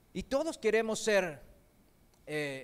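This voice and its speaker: Over a silent background in a very clean recording, a man speaks at a very slow pace. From Korean heritage, not raised in Korea; learned Spanish in Argentina. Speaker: preacher. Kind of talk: sermon.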